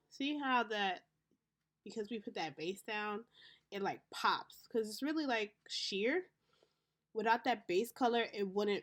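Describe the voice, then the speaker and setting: In an American accent, a woman with a fairly high voice speaks at a very slow pace with very wide pitch swings, on a very clean recording with a silent background. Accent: Haitian accent, comes out a lot. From Haitian American. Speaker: beauty vlogger. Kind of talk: makeup tutorial. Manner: casual, chatty.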